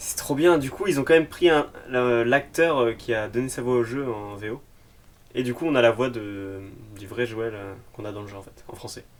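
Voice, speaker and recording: The pace of this man's speech is moderate. He talks at a medium pitch. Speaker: youtuber reacting to a TV episode. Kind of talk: reaction commentary. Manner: animated.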